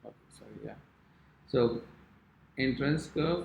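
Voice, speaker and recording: Somewhat breathy, a man's voice moves at a fairly slow pace. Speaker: calligraphy teacher. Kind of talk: tutorial.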